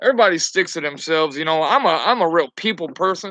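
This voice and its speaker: A man's raised, projected voice has a bright, sharp tone and a fairly quick pace, in a dry, close sound with no echo. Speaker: truck driver. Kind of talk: casual chat. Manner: loud; halting, many fillers.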